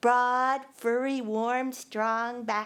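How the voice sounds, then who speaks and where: A woman's high-pitched voice in a flat monotone. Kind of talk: live personal storytelling. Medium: stage play. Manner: warm, vivid, sensory descriptions.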